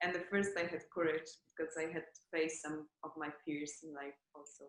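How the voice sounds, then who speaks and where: A woman with a non-native accent speaks at a moderate pace in a very deep, low voice. Her intonation is monotone and flat, while her loudness swings widely. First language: not English. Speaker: former course participant. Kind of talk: interview. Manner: halting.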